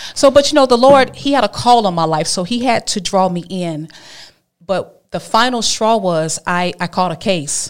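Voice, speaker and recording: On a very clean recording with a silent background, a woman speaks at a moderate pace with a medium pitch and lively intonation. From Alabama, US South. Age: 40s. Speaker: minister. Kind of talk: interview testimony.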